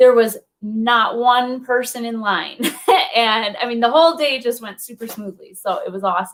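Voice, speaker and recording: A woman with a Minnesotan accent speaks at a fairly high pitch. Her loudness swings widely, and her pitch variation is ordinary. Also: moderate pace. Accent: Minnesota. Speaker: wellness coach. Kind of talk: interview.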